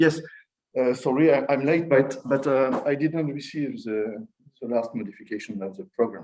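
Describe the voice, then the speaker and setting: His voice sits at a medium pitch. He has a French accent. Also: ordinary pitch variation, moderate pace. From France. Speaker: philosopher. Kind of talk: conference talk. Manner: halting.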